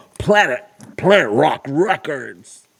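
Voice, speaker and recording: A man's put-on character voice, pitched fairly high. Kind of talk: radio announcer voice.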